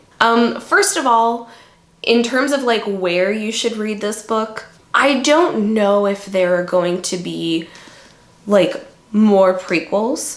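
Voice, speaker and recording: Over noticeable background noise and audible room echo, a woman speaks very slowly at a fairly high pitch with ordinary pitch variation. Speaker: book reviewer. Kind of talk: casual book review monologue. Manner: hesitant, many fillers.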